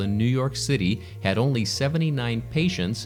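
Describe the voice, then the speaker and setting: Ordinary pitch variation at a moderate pace, with music in the background. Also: man. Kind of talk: news review read.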